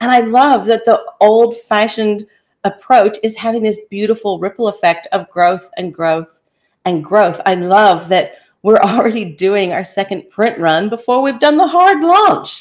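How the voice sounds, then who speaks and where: This woman talks fairly slowly in an American accent. Her pitch sits fairly high and her intonation is lively. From US Midwest (Kansas). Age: 50s. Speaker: author. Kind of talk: interview.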